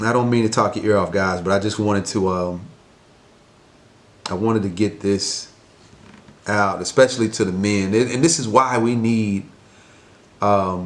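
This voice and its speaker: A man's quiet, fairly low voice at a moderate pace, with fairly even intonation and long, frequent pauses. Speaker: mentor and life coach vlogger. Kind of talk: casual vlog monologue. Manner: quiet, talking low; hesitant, many fillers.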